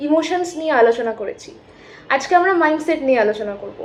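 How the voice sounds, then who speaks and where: Over noticeable background noise, a woman speaks in a high pitch. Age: 20s. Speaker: psychology student and self-help YouTuber. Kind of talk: educational talk. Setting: rented room at home.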